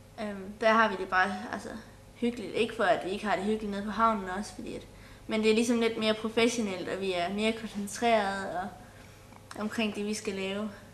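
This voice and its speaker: A woman speaks at a fairly quick pace in a fairly high pitch, with a monotone, flat intonation. Room echo is audible. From Denmark, Sønderborg, Southern Jutland. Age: 20s. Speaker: folk high school sailing student. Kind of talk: interview.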